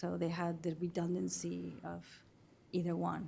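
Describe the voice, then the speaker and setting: A woman speaks with a non-native accent. The recording is very clean, with a silent background. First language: not English. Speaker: witness at investigative hearing. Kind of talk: testimony. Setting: hearing room. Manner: halting.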